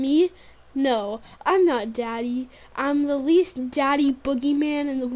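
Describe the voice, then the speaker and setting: A woman does a put-on character voice, high in pitch and fairly slow. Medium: read story.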